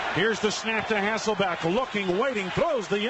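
A man speaks at a fairly quick pace. There is noticeable background noise. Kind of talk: live sports commentary. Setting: stadium broadcast of a football game. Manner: rapid-fire play-by-play, excitable on touchdowns.

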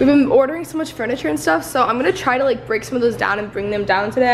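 A woman talks at a very fast pace with hardly any pauses, her high voice lively in intonation. There is light background noise. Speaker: vlogger. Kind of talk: casual vlog chat. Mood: cheerful, chatty. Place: home room. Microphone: phone near.

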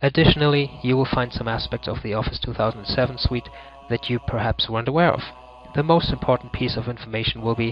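A man with a German accent speaks at a very fast pace and a medium pitch. His intonation is fairly even, with music in the background. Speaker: ebook author. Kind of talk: tutorial. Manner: formal.

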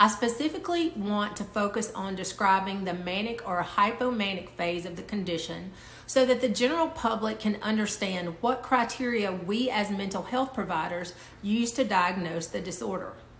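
A woman is heard over light background noise. The room echo is audible. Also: ordinary pitch variation, moderate pace. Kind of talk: educational talk to camera. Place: home room. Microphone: phone near.

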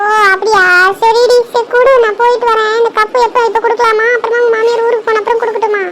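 A woman uses a cartoonish character voice at an extremely high pitch, with monotone, flat intonation and very even loudness. She speaks at a moderate pace over light background noise. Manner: familiar, chatty, uses "di".

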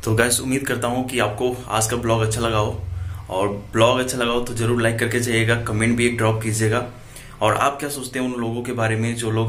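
Intonation is monotone and flat. A man speaks at a moderate pace. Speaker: vlogger. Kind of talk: casual vlog chat. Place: home room. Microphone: phone near.

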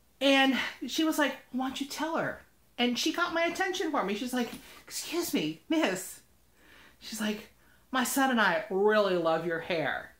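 A woman with a high pitch speaks in an animated tone at a fairly slow pace, her pitch swinging very widely. There are long, frequent pauses, and the room echo is audible. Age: 40s. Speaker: vlogger. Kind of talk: casual vlog storytelling. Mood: upbeat, warm. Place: home room. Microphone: webcam.

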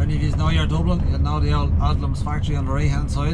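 Loud background noise fills the recording. Over it, a man speaks at a fairly quick pace. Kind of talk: casual vlog chat. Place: car. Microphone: camera far.

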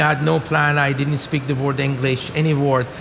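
Light background noise sits behind a man talking with a Persian accent. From Iran. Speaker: venture capital investor. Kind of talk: onstage interview. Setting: stage with audience. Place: stage.

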